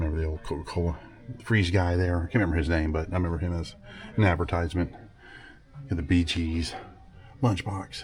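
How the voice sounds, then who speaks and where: Over noticeable background noise, a man speaks with an enthusiastic tone. His pitch is very deep and low. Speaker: vlogger. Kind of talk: walking tour vlog. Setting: indoors in antique mall. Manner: casual, enthusiastic.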